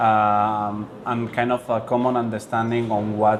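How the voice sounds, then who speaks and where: A man with a Spanish accent speaks in a flat monotone at a fairly low pitch, with noticeable background noise. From Spain. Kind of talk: interview. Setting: board meeting event. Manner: halting, many fillers and repetitions.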